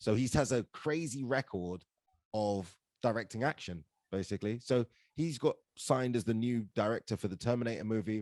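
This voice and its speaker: A man with a London accent talks at a fairly quick pace and medium pitch, with ordinary pitch variation. The sound is dry and close, with no echo. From England, London. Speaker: actor and stand-up comedian. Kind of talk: casual podcast interview. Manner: animated storytelling.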